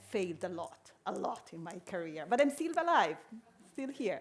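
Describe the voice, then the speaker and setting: Using very wide pitch swings, a woman with an Italian accent speaks at a moderate pace. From Italy. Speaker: innovation strategist, workshop speaker. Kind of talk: conference workshop talk. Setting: stage with audience. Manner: halting, many fillers.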